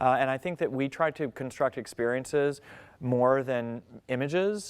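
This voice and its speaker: Over a quiet background, a man with an American accent speaks at a fairly slow pace. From Texas. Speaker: architect. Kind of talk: Q&A after a lecture. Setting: lecture hall with audience. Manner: loud; hesitant, many fillers.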